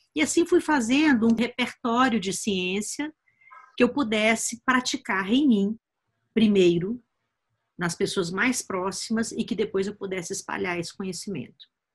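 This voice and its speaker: A woman speaks slowly-ish with a somewhat breathy, fairly high voice. Her intonation is lively. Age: 50s. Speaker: biohacking educator and author. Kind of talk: personal story told to course viewers. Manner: hesitant with fillers.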